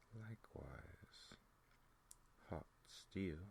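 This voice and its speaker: A soft-spoken voice with vocal fry talks at a very slow pace. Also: man. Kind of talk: ASMR book reading, soft-spoken. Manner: soft-spoken, very slow, hypnotic.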